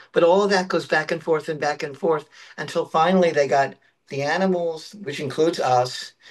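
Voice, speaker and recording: A man uses an ordinary speaking voice at a fairly high pitch, moving at a moderate pace with ordinary pitch variation. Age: 60s. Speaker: guest on paranormal podcast. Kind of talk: casual chat.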